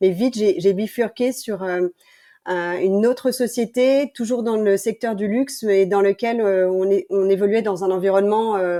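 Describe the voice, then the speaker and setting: On a very clean recording with a silent background, a woman speaks fairly slowly at a medium pitch with a dark, mellow tone and fairly even intonation. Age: 40s. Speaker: entrepreneur, brand founder. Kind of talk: podcast interview.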